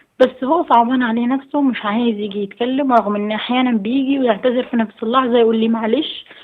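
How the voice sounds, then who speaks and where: Her high voice runs at a fairly quick pace with hardly any pauses, the woman keeping her intonation fairly even. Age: 20s. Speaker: caller. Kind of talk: phone-in advice call. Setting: phone call.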